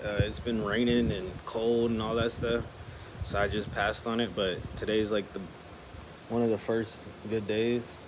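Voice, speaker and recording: With an American accent, a man talks at a medium pitch with fairly even intonation, and the room echo is audible. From Chicago, US. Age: 20s. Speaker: vlogger. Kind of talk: casual vlog talk. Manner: hesitant, filler-heavy.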